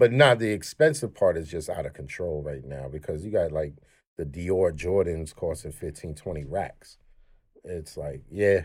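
A man with a New York accent speaks at a moderate pace, his very deep, low voice showing vocal fry and lively intonation. His loudness swings widely, and the recording is very clean with a silent background. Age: 40s. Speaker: podcast co-host. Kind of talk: casual chat.

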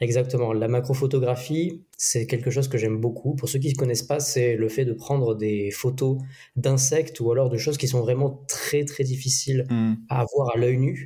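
This man's voice is dark and mellow and somewhat breathy, with a medium pitch, fairly even intonation, very even loudness and a moderate pace. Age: 20s. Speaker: social media automation specialist. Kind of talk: casual interview.

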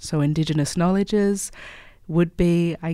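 The pace is moderate. A woman speaks with a dark, mellow tone. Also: very clean recording, silent background. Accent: Australian. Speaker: activist. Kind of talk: interview.

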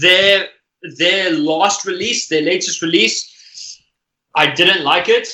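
A man's raised, projected voice, high in pitch, with fairly even intonation at a very slow pace. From South Africa. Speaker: musician. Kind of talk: casual chat.

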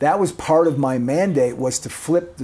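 A man's fairly high, dark, mellow voice with an American accent and ordinary pitch variation, over a quiet background. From Wisconsin, Kenosha. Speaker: former journalist and editor. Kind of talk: casual chat.

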